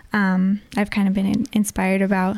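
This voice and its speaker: Woman speaking at medium pitch and a moderate pace. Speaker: singer-songwriter. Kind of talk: interview.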